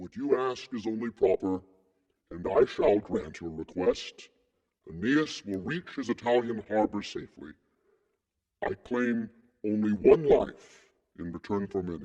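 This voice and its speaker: A man performs a put-on character voice at a medium pitch and a moderate pace. Long pauses come often. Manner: grave, commanding.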